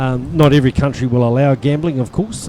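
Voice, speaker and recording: A man's voice, moderately paced and with normal rises and falls in pitch, comes through clear background noise. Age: 60s. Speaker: lawn bowls sports administrator. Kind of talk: interview during live stream of tournament.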